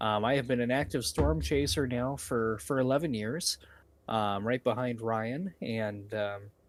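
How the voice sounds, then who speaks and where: On a very clean recording with a silent background, a man uses a plain, everyday voice at a medium pitch, speaking at a fairly slow pace with lively intonation. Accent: American. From northern Indiana, Wells County. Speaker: storm chaser and live weather streamer. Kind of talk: live weather coverage Q&A. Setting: live stream.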